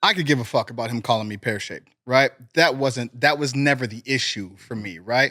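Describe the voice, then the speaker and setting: It is an unremarkable speaking voice, a man with an American accent at a medium pitch, talking at a fairly quick pace with ordinary pitch variation and big swings in loudness. The recording is very clean, with a silent background and a dry, close sound with no echo. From US Midwest, Cleveland, Ohio. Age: 30s. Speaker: professional wrestler. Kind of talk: casual interview chat.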